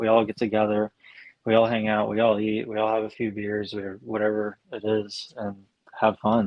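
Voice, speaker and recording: This is a man speaking. His pitch sits fairly low. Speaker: piano technician. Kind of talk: casual chat. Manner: monotone.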